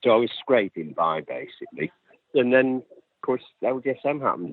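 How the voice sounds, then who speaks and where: A man with a Lancashire accent talks at a fairly quick pace, with big swings in loudness. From northern England, Lancashire (Accrington). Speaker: activist interviewee. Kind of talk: interview.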